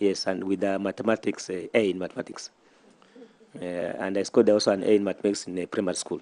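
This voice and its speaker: A man with a Kenyan coastal accent, a dark, mellow tone and monotone, flat intonation, in a dry, close sound with no echo. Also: fairly low pitch for a man. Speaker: nominee being vetted, statistician. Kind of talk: vetting interview answers. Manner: halting, repetitive.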